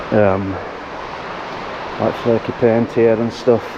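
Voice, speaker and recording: A man speaks in a flat, monotone way over noticeable background noise. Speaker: sandblaster. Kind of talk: casual work vlog talk to camera.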